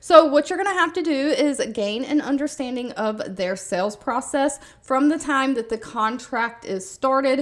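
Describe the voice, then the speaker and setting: With a Southern US accent, a woman speaks at a moderate pace. Her pitch is high and her intonation lively. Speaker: YouTuber sharing remote job listings. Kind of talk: casual video monologue.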